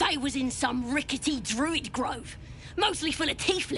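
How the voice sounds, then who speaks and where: A female-sounding put-on character voice at a high pitch, over clear background noise. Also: moderate pace. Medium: short film. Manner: coarse, ungrammatical.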